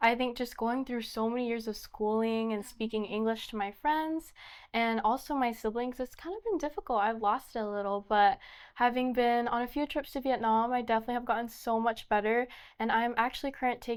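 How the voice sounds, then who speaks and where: An ordinary speaking voice from a woman with an American accent, fairly high in pitch, with ordinary pitch variation and a fairly quick pace, on a very clean recording with a silent background. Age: young. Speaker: pageant contestant. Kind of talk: interview.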